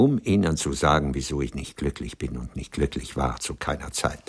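Putting on a character voice, a man speaks at an extremely low pitch with a slightly husky edge. His intonation is lively. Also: moderate pace.

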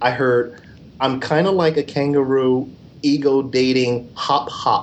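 A man's medium-pitched voice sits over noticeable background noise. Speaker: podcast reviewer. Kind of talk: casual comedic banter. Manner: jokey, crude, sarcastic.

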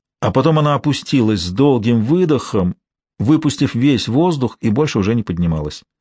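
The background is quiet as someone is reading aloud in a natural voice, their intonation lively.

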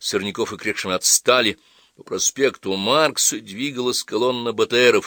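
The clip is of reading aloud in a natural voice.

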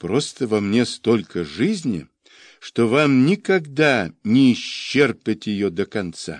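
Reading aloud in a natural voice, the speaker is heard against a quiet background.

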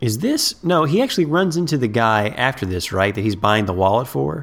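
There is noticeable background noise as a man speaks at a moderate pace. His pitch is medium, with very wide pitch swings. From Ohio, US Midwest. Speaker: podcast host. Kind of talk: casual chat.

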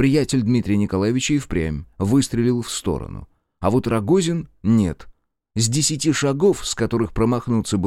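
The background stays quiet. The speaker uses a natural reading voice.

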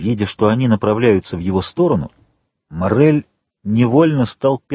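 Reading aloud in a natural voice, with lively intonation, over a quiet background

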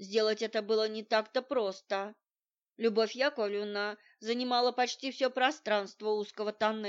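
A natural-sounding read-aloud with fairly even intonation over a quiet background.

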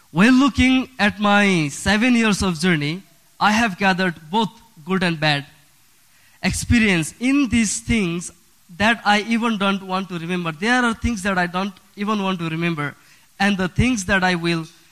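A man with a Nepali accent, high in pitch with ordinary pitch variation, at a moderate pace. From Bhutan, raised in a Nepal refugee camp. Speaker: refugee sharing his story. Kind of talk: prepared personal story reading. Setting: church.

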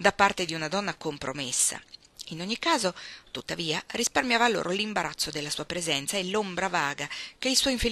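Reading done in an unforced reading voice.

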